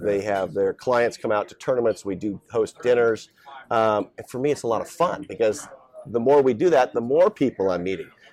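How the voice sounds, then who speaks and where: A man speaks at a medium pitch and a moderate pace. Noticeable background noise can be heard. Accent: American. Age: 50s. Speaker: professional golfer. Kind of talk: interview.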